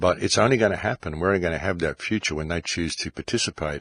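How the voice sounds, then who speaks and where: A man's very deep, low voice with ordinary pitch variation comes across in a dry, close sound with no echo. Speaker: podcast host. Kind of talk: monologue.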